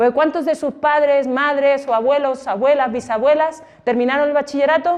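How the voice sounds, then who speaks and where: With a high pitch and ordinary pitch variation, a woman speaks. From Spain. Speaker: exhibition guide. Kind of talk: guided exhibition talk to students. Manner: conversational, many rhetorical questions.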